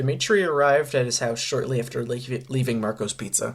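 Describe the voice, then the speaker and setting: Somewhat breathy, this man's voice sits at a medium pitch and keeps a fairly even intonation. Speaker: fanfiction author reading own story. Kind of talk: reading aloud. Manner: halting.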